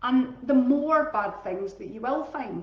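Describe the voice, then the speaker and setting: Her pitch is high and swings very widely as a woman with a Scottish accent speaks at a fairly slow pace. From Scotland. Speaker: teacher and wellbeing coach. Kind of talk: casual talk on live stream. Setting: Facebook live stream. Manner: chatty, informal.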